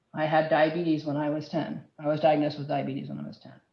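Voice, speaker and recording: A woman talks at a fairly quick pace. Her voice carries vocal fry. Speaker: health data standards presenter. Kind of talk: work group presentation. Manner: fast.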